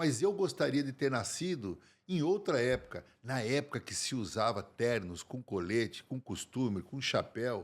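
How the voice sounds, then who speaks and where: A man speaks at a fairly slow pace with hardly any pauses and very wide pitch swings, captured in a very clean recording against a silent background. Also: medium pitch for a man. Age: 60s. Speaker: men's fashion consultant. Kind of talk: podcast interview.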